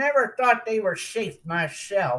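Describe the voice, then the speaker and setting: A put-on character voice drawls at a fairly slow pace. The pitch is fairly high. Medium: read story. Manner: drawling, slow.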